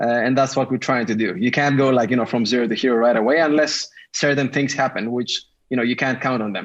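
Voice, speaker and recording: In a Greek accent, a man talks at a very fast pace against a quiet background. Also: medium pitch for a man, ordinary pitch variation. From Greece. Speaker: tech startup founder. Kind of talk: podcast interview.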